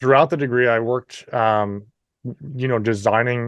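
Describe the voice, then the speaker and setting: A man with a slight Canadian accent speaks at medium pitch and a fairly quick pace, his intonation fairly even. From New Brunswick, Canada. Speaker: entrepreneur. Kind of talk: interview.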